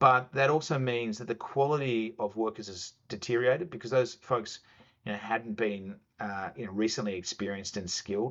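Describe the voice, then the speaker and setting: With an Australian accent and medium pitch, a man talks at a fairly quick pace with big swings in loudness. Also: ordinary pitch variation. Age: 40s. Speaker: chief investment officer. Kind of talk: casual interview.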